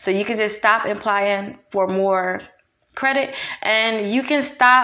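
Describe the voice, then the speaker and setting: A woman's fairly high voice with ordinary pitch variation and audible room echo. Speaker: realtor and credit repair advisor. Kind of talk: tutorial. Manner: fast.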